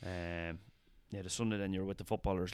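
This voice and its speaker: A man speaks with a Meath accent. His very deep, low voice has monotone, flat intonation. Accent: rural Irish (Meath). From Ireland, County Meath (Longwood). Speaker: Gaelic footballer and hurler, personal trainer. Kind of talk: casual interview chat.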